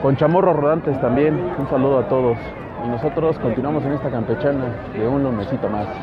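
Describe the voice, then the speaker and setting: A man with a fairly high pitch talks at a fairly quick pace with ordinary pitch variation, crowd noise in the background and audible room echo. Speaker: podcast host. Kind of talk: on-location report. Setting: outdoors at night bike ride.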